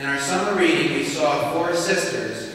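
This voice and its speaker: A man at a moderate pace with fairly even intonation, strong room echo and light background noise. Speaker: school colloquium host. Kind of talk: speaker introduction. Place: hall.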